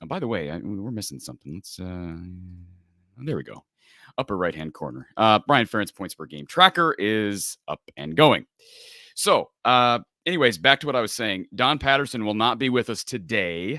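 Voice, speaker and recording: A man's fairly low, bright, sharp voice with vocal fry, very wide pitch swings and big swings in loudness, on a very clean recording with a silent background and a dry, close sound with no echo. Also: moderate pace. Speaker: sports talk show host. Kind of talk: live postgame show. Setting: livestream.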